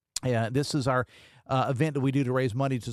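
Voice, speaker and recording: Speaking very fast at a medium pitch, a man with a West Virginia accent is heard on a very clean recording with a silent background. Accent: Appalachian West Virginia, mild. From southern West Virginia, Logan County. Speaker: radio talk show host. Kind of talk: talk radio monologue. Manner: casual, conversational.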